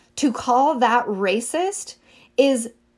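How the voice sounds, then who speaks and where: A woman with an American accent speaks at a high pitch with ordinary pitch variation. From rural Northern California. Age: 30s. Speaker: podcast host. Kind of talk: solo commentary podcast. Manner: conversational, with frequent self-corrections.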